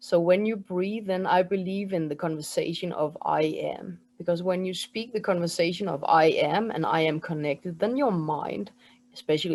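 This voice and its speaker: A woman with a Danish accent at a moderate pace, against a quiet background. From Denmark. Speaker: spiritual mentor and energy healer. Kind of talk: interview with guided breathing exercise.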